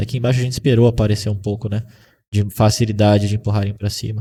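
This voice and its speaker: On a very clean recording with a silent background, a man speaks fast-ish at a fairly quick pace, somewhat breathy, with a fairly low pitch, dark, mellow tone and monotone, flat intonation. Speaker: day trading instructor. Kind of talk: live trading class.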